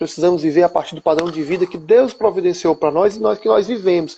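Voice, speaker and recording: A man speaks with a high-pitched voice. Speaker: financial planning speaker. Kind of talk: live stream talk. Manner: fast. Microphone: unstable internet connection.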